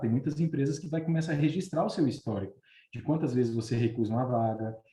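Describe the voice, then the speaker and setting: Somewhat breathy, a man talks at a very fast pace and medium pitch. His tone is dark and mellow. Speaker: recruitment consultant. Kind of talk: online webinar talk. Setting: live video stream.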